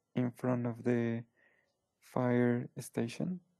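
A man with a Spanish accent speaks very slowly at medium pitch in a dark, mellow tone against a quiet background. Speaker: English learner; online English tutor. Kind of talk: English lesson. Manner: halting, hesitant. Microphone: headset.

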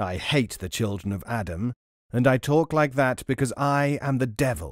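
Over a silent background on a very clean recording, a man growls in a put-on character voice at medium pitch and a moderate pace. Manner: snarling.

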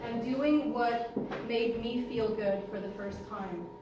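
A woman talks in a fairly high pitch. The room echo is audible and there is noticeable background noise. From Montreal, Canada. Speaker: interior designer. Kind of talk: launch event speech to a live audience. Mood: warm, heartfelt. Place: hall. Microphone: camera far.

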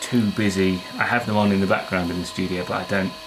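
A man speaks at a moderate pace with a very deep, low pitch and monotone, flat intonation. Noticeable background noise is present. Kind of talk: casual vlog chat. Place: workshop.

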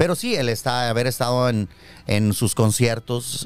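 Man at a moderate pace over faint music in the background. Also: dry sound with no echo. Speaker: radio announcer and TV presenter; radio announcer, TV presenter. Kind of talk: interview answer, casual talk. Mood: relaxed, reminiscing. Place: studio. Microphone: studio mic.

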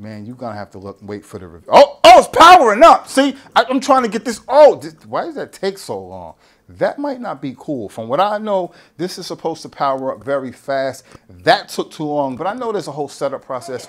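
Pitched high for a man, this man's voice swings very widely in pitch and heavily in loudness. He sounds animated and talks at a fairly quick pace. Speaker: YouTuber, tech and fitness channel host; tech unboxing host. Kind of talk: casual unboxing vlog. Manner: rambling, halting with repetitions.

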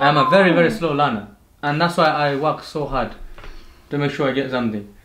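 A man talking at a fairly quick pace, with noticeable background noise behind him. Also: ordinary pitch variation. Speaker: YouTube channel host. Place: home room. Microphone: camera far.

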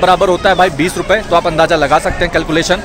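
Over clear background music, a man talks in a dry sound with no echo. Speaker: travel vlogger. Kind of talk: casual vlog chat. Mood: chatty, slightly frustrated. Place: station. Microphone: phone near.

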